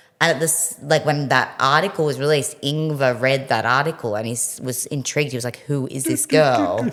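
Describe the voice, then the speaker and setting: A woman with a very deep, low voice talks at a fairly quick pace with hardly any pauses and ordinary pitch variation, over noticeable background noise. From Australia (Melbourne). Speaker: rock band singer. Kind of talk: casual interview chat. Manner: animated.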